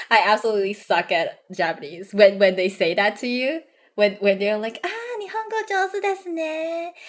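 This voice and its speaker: At a moderate pace, a woman speaks with a Cantonese accent. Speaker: vtuber streamer. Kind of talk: casual chat. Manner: halting, repeats words.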